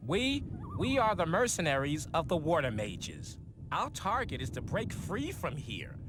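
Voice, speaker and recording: A man puts on a gruff character voice, pitched high for a man, at a moderate pace. Clear background noise runs underneath. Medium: video game. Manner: blunt, gruff, swearing.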